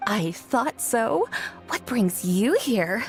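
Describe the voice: A woman uses a put-on character voice with big pitch swings and a fairly high pitch. She speaks at a slow pace over faint music in the background.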